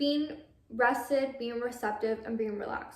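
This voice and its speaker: With an American accent, a woman speaks at a fairly high pitch with fairly even intonation. Audible room echo surrounds her voice. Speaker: lifestyle vlogger. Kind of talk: casual monologue.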